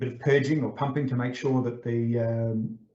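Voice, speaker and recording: A man's medium-pitched voice, flat and monotone in intonation, carries audible room echo. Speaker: invited lecturer, groundwater engineer. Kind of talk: online conference lecture. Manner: many filler sounds, self-described as somewhat fast.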